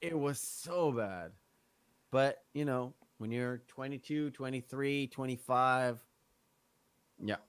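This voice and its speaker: Speaking very slowly with long, frequent pauses, a man uses a medium pitch and ordinary pitch variation. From Israel. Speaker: podcast guest. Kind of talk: casual chat.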